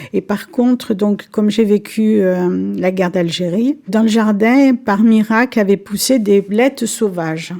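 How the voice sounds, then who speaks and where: A woman talks in a dark, mellow tone. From Algeria. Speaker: senior interviewee. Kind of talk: reminiscence interview.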